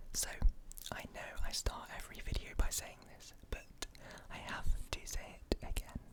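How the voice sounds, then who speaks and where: Whispering at a moderate pace, a man leaves long, frequent pauses while his loudness swings widely. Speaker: ASMR content creator. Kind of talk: ASMR personal attention, soft-spoken show-and-tell. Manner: soft-spoken, whispery.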